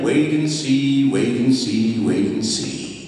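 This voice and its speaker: Against noticeable background noise, a man speaks very slowly with ordinary pitch variation. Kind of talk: poetry slam performance.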